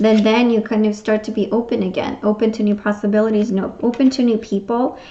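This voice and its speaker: A woman's fairly high voice, fairly quick, monotone and flat, at a very even loudness. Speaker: tarot reader. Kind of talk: tarot reading. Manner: fast; hesitant, many fillers.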